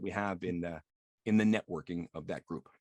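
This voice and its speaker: A man talks at a very fast pace with vocal fry. The sound is dry and close, with no echo. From Quebec. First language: French. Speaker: interpreter. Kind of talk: casual interview. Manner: hesitant with fillers.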